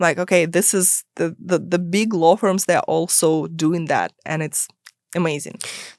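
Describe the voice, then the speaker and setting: Speaking with a non-native accent, a woman's fairly low voice moves at a moderate pace with fairly even intonation, recorded dry and close with no echo. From immigrant to US, non-English-speaking country. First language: not English. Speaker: startup lawyer. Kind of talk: podcast interview.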